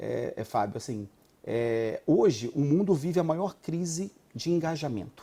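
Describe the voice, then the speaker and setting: A man's fairly high, dark and mellow voice in a Rio de Janeiro accent, lively in intonation and fairly slow, on a very clean recording with a silent background. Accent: carioca. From Rio de Janeiro, Brazil. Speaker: HR executive. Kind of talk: TV interview.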